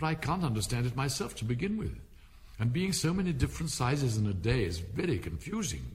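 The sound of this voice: Reading done in an unforced voice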